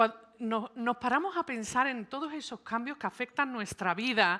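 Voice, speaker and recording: Speaking in a Sevillian accent, a woman keeps a moderate pace. Her tone is bright and sharp on a very clean recording with a silent background. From Seville, Spain (born and raised early in New York). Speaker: psychologist and speaker. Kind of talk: conference talk.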